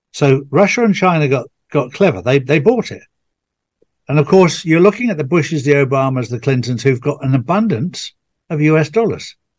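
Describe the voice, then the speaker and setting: A man speaks at a moderate pace in a fairly high pitch, with lively intonation. His voice is somewhat breathy. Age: 60s. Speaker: podcast host. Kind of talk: casual chat.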